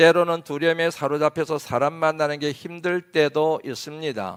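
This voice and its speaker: This is a man with an ordinary speaking voice and a fairly high pitch. He talks at a moderate pace on a very clean recording with a silent background. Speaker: pastor. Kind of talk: sermon. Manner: formal.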